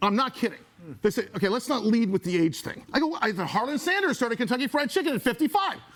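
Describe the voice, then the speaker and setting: A man speaks at a very fast pace in an animated tone, his extremely high pitch swinging very widely. Noticeable background noise is present. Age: 60s. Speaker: talk show host and singer. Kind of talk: live studio talk show. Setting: studio with live audience.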